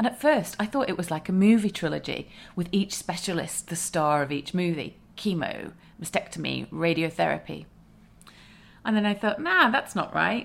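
On a very clean recording with a silent background, a woman talks at a moderate pace in a fairly low pitch, with vocal fry and lively intonation. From UK. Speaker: podcast host and breast cancer survivor. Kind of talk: personal storytelling monologue.

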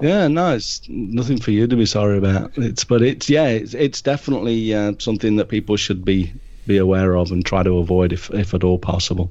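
With a British accent and a dark, mellow tone, a man talks at a fairly quick pace and a fairly low pitch, with ordinary pitch variation and hardly any pauses. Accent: non-Japanese, British. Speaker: nature and wildlife photographer. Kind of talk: interview.

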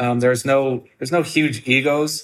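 A man speaks in a plain, everyday voice with an American accent at a medium pitch. His intonation is fairly even, and the recording is very clean with a silent background. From US Midwest, southern Wisconsin. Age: 40s. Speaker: chef and restaurateur. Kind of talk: interview.

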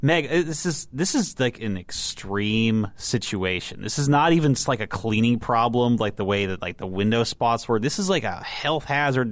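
A man with an American accent talks in an ordinary speaking voice at a medium pitch. His pace is moderate and his intonation lively. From Texas. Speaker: car website editor. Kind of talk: casual chat. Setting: studio.

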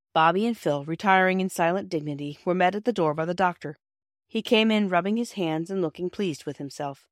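Quiet surroundings, ordinary pitch variation, and a natural reading voice

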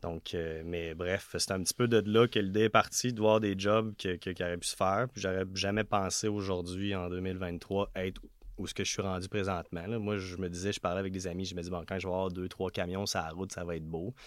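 With a very deep, low pitch and monotone, flat intonation, a man talks at a fairly quick pace with hardly any pauses on a very clean recording with a silent background. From Quebec, west of Montreal. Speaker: business owner. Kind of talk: interview.

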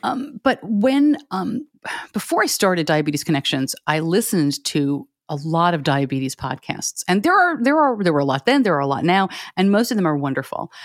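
Very wide pitch swings mark a woman's medium-pitched voice at a fairly quick pace, in a very clean recording with a silent background. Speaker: podcaster and parent of a child with diabetes. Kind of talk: interview. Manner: fast when excited.

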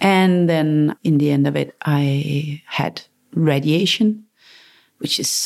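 A woman talks with a very deep, low pitch. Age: 40s. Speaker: cancer survivor and entrepreneur. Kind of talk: interview. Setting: her headquarters in Copenhagen. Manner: halting, searching for words.

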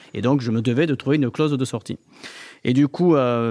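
A man with a southern French accent talks at a medium pitch with ordinary pitch variation. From southern France. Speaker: entrepreneur. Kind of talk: interview.

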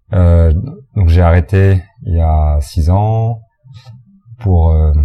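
A man speaks in a very deep, low voice at a very slow pace, with ordinary pitch variation. His loudness stays very even, and long pauses come often. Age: 40s. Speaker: restaurant owner and farmer. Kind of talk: interview. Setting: restaurant. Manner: halting.

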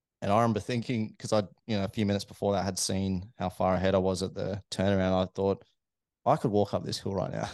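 A man talks very fast in an Australian accent, his intonation monotone and flat. His pitch is fairly low, and the background is quiet. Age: 30s. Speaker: amateur runner, aerospace engineer. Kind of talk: casual interview chat. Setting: studio.

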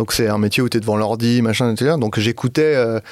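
A man at medium pitch with an ordinary speaking voice, at a moderate pace. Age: 40s. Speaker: comedian and video creator. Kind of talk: casual chat. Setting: studio.

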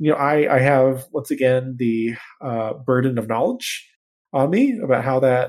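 A man speaks in a medium pitch. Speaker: podcast host. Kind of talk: casual comedic banter. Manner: animated, joking.

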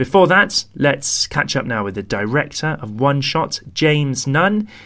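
In a British accent, a man speaks at a moderate pace. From London, UK. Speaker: podcast host. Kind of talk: casual interview chat.

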